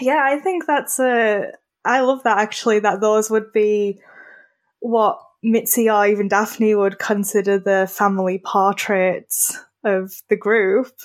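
A woman's fairly high voice at a fairly slow pace, with a British accent. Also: ordinary pitch variation, very even loudness. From Britain. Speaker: graphic designer and writer. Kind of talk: casual interview about films.

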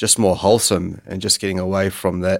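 Speaking at a moderate pace, a man with a very deep, low pitch keeps a monotone, flat intonation. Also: very clean recording, silent background. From New Zealand, Bay of Islands. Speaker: gym founder. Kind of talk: podcast interview. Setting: studio.

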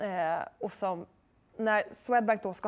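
This is an ordinary speaking voice from a woman at a medium pitch. Her intonation is fairly even. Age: 30s. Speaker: author and journalist. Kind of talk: interview.

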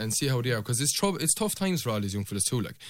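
A man with a Limerick accent and medium pitch speaks very fast, with very wide pitch swings. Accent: Irish (Limerick). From Ireland, County Limerick. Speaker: election candidate. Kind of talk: radio election debate.

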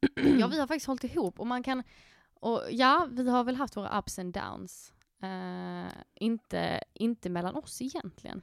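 Lively intonation marks this woman's fairly high voice at a fairly slow pace. The sound is dry and close, with no echo. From Skåne, southern Sweden. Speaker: podcast co-host. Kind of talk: casual chat. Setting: podcast studio in a coworking space.

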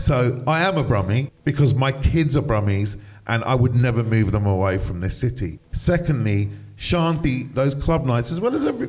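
In a London accent, a man speaks at medium pitch with lively intonation. His voice is somewhat breathy and his pace moderate. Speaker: DJ and commentator. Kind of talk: interview conversation. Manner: animated.

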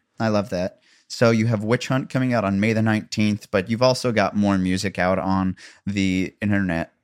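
A man's fairly low voice with an American accent, dry and close with no echo, on a very clean recording over a silent background. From US Midwest. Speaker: podcast host and bar show MC. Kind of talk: casual interview chat. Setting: home living room. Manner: loud talker; energetic, jokey.

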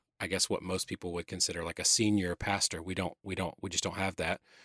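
A man's very deep, low voice in a Southern US accent, monotone and flat, on a very clean recording with a silent background and a dry, close sound with no echo. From Atlanta, Georgia (US South). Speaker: church creative director. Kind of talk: interview conversation. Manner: halting, many fillers.

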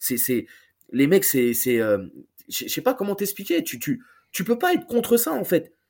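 On a very clean recording with a silent background, a high-pitched man speaks at a fairly slow pace, with long, frequent pauses and very wide pitch swings. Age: 30s. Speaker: football YouTuber and fan. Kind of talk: casual chat.

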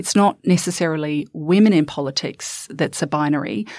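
On a very clean recording with a silent background, a woman with a New Zealand accent speaks at a very deep, low pitch. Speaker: former politician. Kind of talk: panel discussion. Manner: halting.

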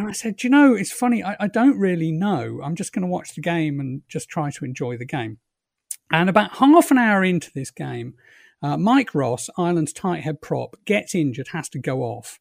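A man with a London accent speaks at a high pitch with very wide pitch swings. The recording is very clean, with a silent background. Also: moderate pace. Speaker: behavioural economist, professor. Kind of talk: interview.

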